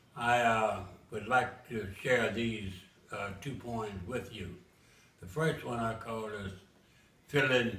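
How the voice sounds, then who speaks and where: An American accent with ordinary pitch variation, over noticeable background noise. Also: man. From Memphis, Tennessee. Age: 80s+. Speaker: author. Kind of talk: casual introduction to camera.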